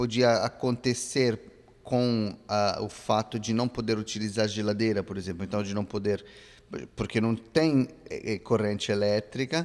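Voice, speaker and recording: A man with an Italian accent, medium pitch and a fairly slow pace. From Italy. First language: Italian (speaking Portuguese). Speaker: radio presenter of Brazilian music. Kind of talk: interview. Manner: halting, with fillers.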